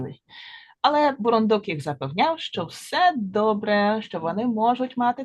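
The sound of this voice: An unforced reading voice carries the passage.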